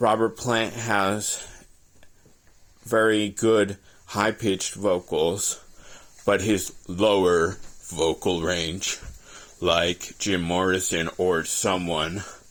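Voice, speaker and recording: A man with a very deep, low pitch speaks at a very slow pace with fairly even intonation, very even loudness and long, frequent pauses. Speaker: aspiring singer and vlogger. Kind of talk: casual monologue vlog.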